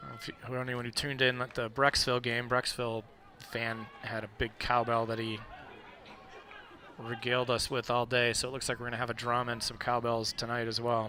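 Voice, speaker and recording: Crowd noise fills the background as a man talks fairly quickly with an American accent. His intonation stays monotone and flat. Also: medium pitch for a man. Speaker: sports commentator. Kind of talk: live commentary. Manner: loud.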